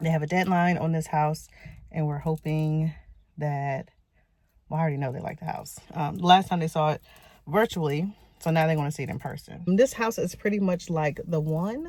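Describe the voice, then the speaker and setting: Someone whispers at a moderate pace, the sound somewhat breathy. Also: woman. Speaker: realtor. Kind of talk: vlog narration. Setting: outdoors. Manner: whispering.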